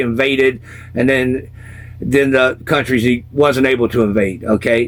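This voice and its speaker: A man at a moderate pace, in a Southern accent, with fairly even intonation. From US South, South Carolina. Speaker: former punk rocker telling life stories. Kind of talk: casual storytelling interview.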